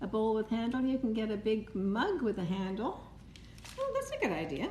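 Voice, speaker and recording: At a moderate pace, a woman with a fairly high pitch makes very wide pitch swings, with audible room echo and noticeable background noise. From Canada, Toronto area. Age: 70s. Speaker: cake decorator. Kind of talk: live-stream tutorial. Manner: casual, chatty.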